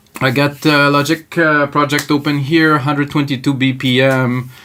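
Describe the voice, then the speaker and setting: A man's fairly high voice with a slight French Canadian accent, fairly even intonation and a moderate pace. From Quebec. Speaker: music producer, tutorial host; tutorial host. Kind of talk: live tutorial. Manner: casual, improvised. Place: home room. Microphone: camera far.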